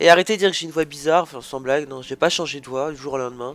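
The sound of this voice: A man speaks at a very fast pace in a fairly high voice, with a fairly bright tone and fairly even intonation.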